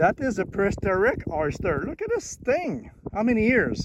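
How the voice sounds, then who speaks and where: Against noticeable background noise, a man talks with an Acadian accent. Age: 60s. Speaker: amateur local historian vlogger. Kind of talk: outdoor vlog narration. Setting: outdoors on a marsh shoreline.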